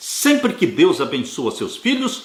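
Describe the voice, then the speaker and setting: A man talks at a moderate pace. His voice carries audible room echo. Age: 70s. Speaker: Adventist Bible teacher. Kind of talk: Bible study lesson. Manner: earnest, exhortative.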